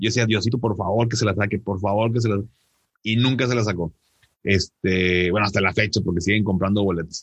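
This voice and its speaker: This man speaks at a fairly quick pace with a fairly low pitch, a somewhat breathy sound, fairly even intonation and very even loudness. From Monterrey, northern Mexico. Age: 30s. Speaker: financial advisor and podcaster. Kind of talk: interview conversation. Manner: halting, many repetitions and fillers.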